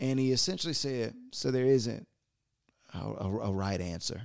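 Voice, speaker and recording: The recording is very clean, with a silent background. Pitch variation is ordinary. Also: man. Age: 20s. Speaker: podcast host and pastor. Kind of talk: motivational talk. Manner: animated.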